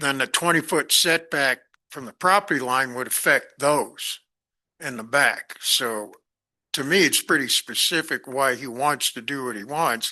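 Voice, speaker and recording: A man with an American accent, bright and sharp in tone, fairly high in pitch with ordinary variation, fairly slow, big swings in loudness, dry and close with no echo against a quiet background. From New York City, the Bronx. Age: 70s. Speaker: planning commissioner. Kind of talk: public meeting deliberation.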